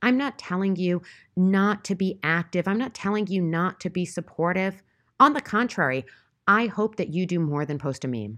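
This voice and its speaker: A woman with an unremarkable speaking voice talks at a moderate pace in a medium pitch with lively intonation against a quiet background. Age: 40s. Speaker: podcast host. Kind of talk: solo monologue commentary.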